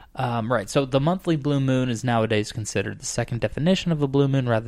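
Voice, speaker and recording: A man with an American accent has an unremarkable speaking voice. He talks at a fairly quick pace. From Arizona. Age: 20s. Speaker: podcast host. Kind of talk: casual chat.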